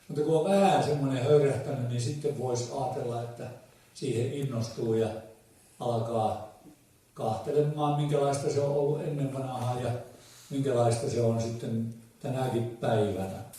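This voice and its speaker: With a Southern Ostrobothnian accent, a man talks at a fairly slow pace and medium pitch with ordinary pitch variation, and there is noticeable background noise. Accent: Ähtäri dialect of Finnish. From Ähtäri, South Ostrobothnia, Finland. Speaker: folk musician. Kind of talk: dialect storytelling to a live audience. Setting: live event hall.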